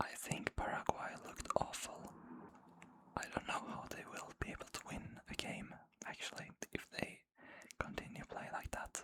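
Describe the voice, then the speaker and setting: Whispering at a moderate pace, the speaker leaves long, frequent pauses. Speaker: ASMR creator. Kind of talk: ASMR football predictions talk. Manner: whispered.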